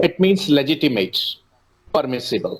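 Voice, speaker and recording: This man talks at a fairly high pitch. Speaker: activist and certification founder. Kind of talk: interview explanation. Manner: halting.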